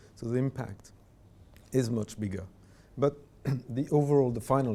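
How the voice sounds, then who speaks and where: A man with a French accent and a dark, mellow tone speaks at a moderate pace with ordinary pitch variation. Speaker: diplomat. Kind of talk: panel discussion.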